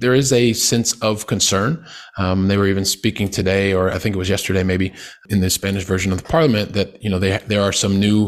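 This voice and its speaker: In a Midwestern American accent, a man talks at a fairly quick pace with a fairly low pitch and fairly even intonation. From US Midwest, Columbus, Ohio. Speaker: real estate investor. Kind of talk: interview. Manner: halting, many fillers.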